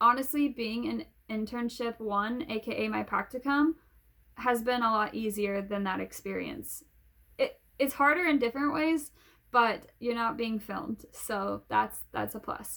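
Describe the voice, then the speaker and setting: Delivered at a fairly slow pace, the voice has a bright, sharp tone and ordinary pitch variation. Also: woman, fairly high pitch for a woman. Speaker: graduate student and video blogger. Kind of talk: casual vlog. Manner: stuttering.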